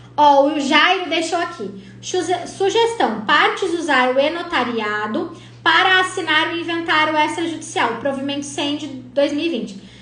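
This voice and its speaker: Lively intonation and an animated tone, with audible room echo. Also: woman, high pitch for a woman, moderate pace. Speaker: lawyer teaching probate practice. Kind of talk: live stream Q&A tutorial. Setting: live stream.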